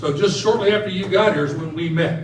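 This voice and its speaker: Loud and high-pitched, a man speaks at a moderate pace. Room echo and noticeable background noise are both audible. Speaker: retired basketball referee and officiating trainer. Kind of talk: ceremony speech.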